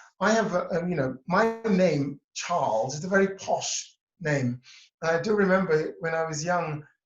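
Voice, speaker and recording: A man talks at a high pitch with a Cambridge accent. His pitch variation is ordinary and his pace is moderate. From England, near Cambridge. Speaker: interview guest, self-worth coach. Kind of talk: interview.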